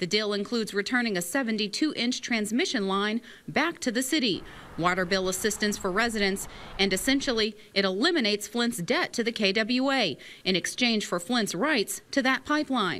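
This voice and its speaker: In a very clean recording with a silent background, a woman with a fairly high pitch speaks at a moderate pace in a bright, sharp tone, her intonation lively and her loudness very even. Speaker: TV news reporter. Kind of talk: news report.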